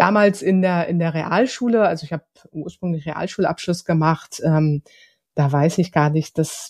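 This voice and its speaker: Recorded very cleanly against a silent background, the voice moves at a moderate pace. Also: woman. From Hamburg, northern Germany. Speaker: social business consultant, founder. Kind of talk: interview. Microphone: new podcast equipment.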